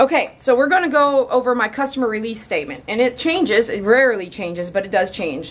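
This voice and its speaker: A woman speaks in an animated tone with lively intonation. Noticeable background noise runs behind her. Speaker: dog groomer. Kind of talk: casual vlog talk. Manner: fast.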